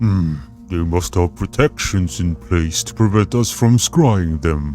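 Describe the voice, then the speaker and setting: Someone uses a put-on character voice at a fairly slow pace while music plays clearly in the background. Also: man, very deep, low pitch for a man. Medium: read story. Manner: calm, thoughtful, starts with a hum.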